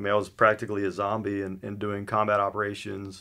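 A man talks at a fairly quick pace with a fairly low pitch. The background is quiet. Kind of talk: interview answer. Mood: somber, personal story. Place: studio.

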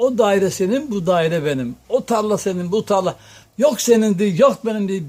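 High male pitch with ordinary pitch variation, from a man at a moderate pace. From Tokat, Turkey. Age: old. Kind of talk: folk storytelling to an interviewer.

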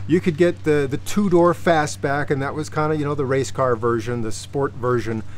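A man talks at a fairly quick pace against light background noise. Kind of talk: casual explanatory talk to camera. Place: street.

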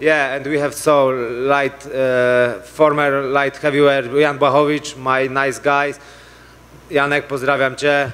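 Very slowly and in a flat monotone, a man with a Polish accent speaks at a fairly high pitch. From Poland. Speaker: mixed martial arts fighter. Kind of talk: post-fight press conference answers. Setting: press conference. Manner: halting, broken English. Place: hall. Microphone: handheld.

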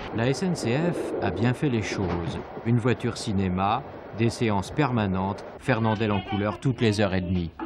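A man speaks at a fairly slow pace with ordinary pitch variation. The sound is dry with no echo, and background noise is noticeable. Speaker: TV news narrator. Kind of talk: news report narration. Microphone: old recording.

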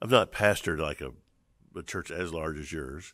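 The background stays quiet. Speech moves at a moderate pace. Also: man. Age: 50s. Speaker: podcast host, seminary dean and pastor. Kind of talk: interview conversation. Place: studio. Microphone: studio mic.

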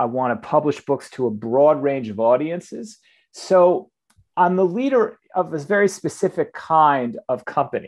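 A man with an unremarkable speaking voice, fairly high in pitch, with lively intonation, a moderate pace and a quiet background. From US Northeast, suburban New Jersey. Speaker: book publishing executive. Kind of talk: interview conversation.

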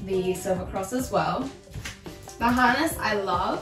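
Clear music plays behind a woman who speaks at a fairly slow pace. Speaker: product reviewer. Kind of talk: product review tutorial. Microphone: camera far.

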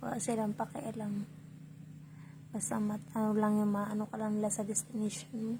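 Here is a woman with an ordinary speaking voice at a fairly high pitch. Her pace is moderate and her pitch variation ordinary. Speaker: vlogger. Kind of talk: casual vlog. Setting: hotel room.

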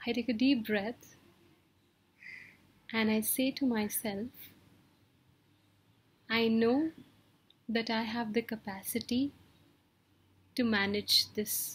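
A woman talks at a very slow pace with fairly even intonation, broken by long, frequent pauses. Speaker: wellbeing coach. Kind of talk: motivational talk. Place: home room. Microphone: webcam.

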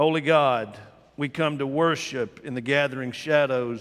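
A man speaks at a medium pace, his pitch varying in an ordinary way. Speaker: pastor. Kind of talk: worship welcome and announcements, then a read prayer. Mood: warm, then solemn. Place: church.

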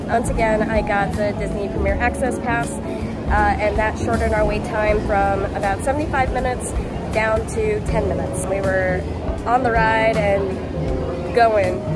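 A woman talks at a fairly slow pace. Music plays clearly behind her. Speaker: travel vlogger. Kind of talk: casual vlog chat. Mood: cheerful, enthusiastic. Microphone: phone near.

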